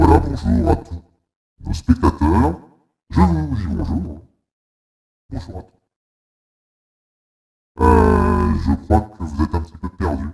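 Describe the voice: A man uses a very deep, low put-on character voice, speaking at a fairly slow pace with long, frequent pauses.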